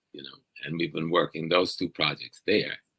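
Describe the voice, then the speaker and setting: Bright, sharp tone with an American accent at a very fast pace, dry and close with no echo. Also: man. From US South. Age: 70s. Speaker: professor and activist. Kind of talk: interview conversation.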